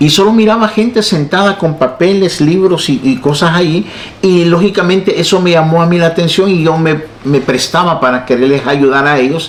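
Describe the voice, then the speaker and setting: A man talks at a moderate pace with a high pitch and ordinary pitch variation. His loudness stays very even over noticeable background noise. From El Salvador, San Salvador. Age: 60s. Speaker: pastor and evangelist, former guerrilla. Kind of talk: testimony.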